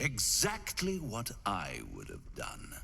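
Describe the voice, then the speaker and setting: Against clear background noise, a man performs a put-on character voice at a very slow pace. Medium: video game. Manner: smooth, amused, insinuating.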